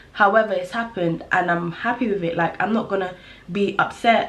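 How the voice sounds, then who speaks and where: Against noticeable background noise, a woman speaks fairly quickly with lively intonation. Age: young. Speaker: vlogger. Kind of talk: casual chat. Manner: animated.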